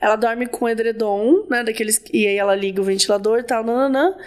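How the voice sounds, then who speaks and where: A woman with a plain, everyday voice, fairly high pitch and ordinary pitch variation, at a fairly quick pace. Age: 30s. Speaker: podcast host. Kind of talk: casual chat; reading aloud a listener story with casual commentary.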